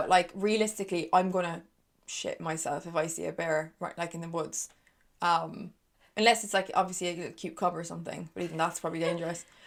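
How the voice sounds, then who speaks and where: In an Irish accent, a woman with a fairly low pitch talks at a very fast pace with fairly even intonation. Her loudness swings widely, and the recording is very clean with a silent background. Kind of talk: casual conversation.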